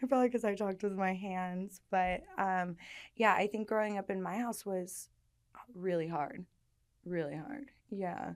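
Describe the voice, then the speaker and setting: A woman with an American accent at a medium pitch, with ordinary pitch variation and a fairly slow pace. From New York, Staten Island, then California. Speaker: person in long-term recovery. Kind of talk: testimony in interview.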